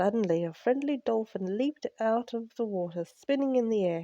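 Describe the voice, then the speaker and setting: With a dark, mellow tone and ordinary pitch variation, a woman talks at a moderate pace in a dry, close sound with no echo. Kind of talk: bedtime story narration.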